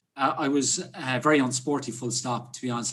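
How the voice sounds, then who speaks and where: With an Irish accent, a man speaks at a medium pitch with fairly even intonation. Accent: Irish (Clare). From Ireland, West Clare. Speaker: hotelier and mountaineer. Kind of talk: casual interview chat.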